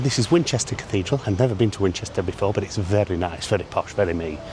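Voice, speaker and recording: Very fast speech from a fairly low-pitched man, with ordinary pitch variation and noticeable background noise. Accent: northern English. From northern England. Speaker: travel vlogger. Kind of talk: casual vlog to camera. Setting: inside a cathedral. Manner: whispering; hesitant fillers.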